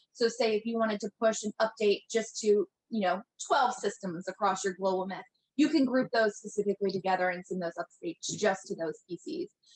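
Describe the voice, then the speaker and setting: A woman talks at a fairly quick pace and a medium pitch, with ordinary pitch variation and a dry, close sound that has no echo. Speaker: product presenter. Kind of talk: webinar presentation. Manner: fast.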